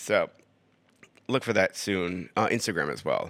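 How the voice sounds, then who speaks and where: Serious in tone yet bright and sharp, a man with an American accent comes through a very clean recording with a silent background. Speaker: podcaster. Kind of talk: casual solo podcast monologue. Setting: living room, recording on iPad. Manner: drawn-out and serious in podcast voice.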